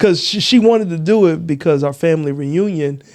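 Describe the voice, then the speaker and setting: Over noticeable background noise, a man with an American accent talks at a fairly quick pace in an animated tone. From Texas. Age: 40s. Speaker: comedian. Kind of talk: casual chat.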